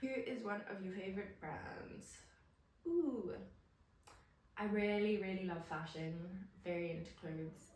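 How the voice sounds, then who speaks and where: A woman at medium pitch with ordinary pitch variation, speaking fairly slowly with long, frequent pauses amid audible room echo and noticeable background noise. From South Africa, Cape Town. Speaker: illustrator and content creator. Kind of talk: casual Q&A vlog.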